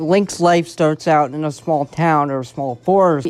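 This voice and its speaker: A man at a moderate pace, fairly high-pitched, with music playing behind him. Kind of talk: casual video essay talk. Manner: hesitant, halting.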